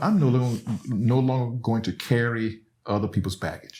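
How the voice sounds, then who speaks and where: Someone speaks with an Alabama accent on a very clean recording with a silent background. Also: man. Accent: Southern US (Alabama). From Alabama, US South. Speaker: professor. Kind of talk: casual chat.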